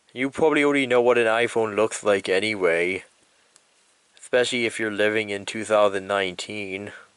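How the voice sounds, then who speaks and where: Speaking fairly quickly, a man uses a fairly low pitch with ordinary variation. He has an unremarkable speaking voice. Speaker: YouTuber. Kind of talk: casual vlog retrospective.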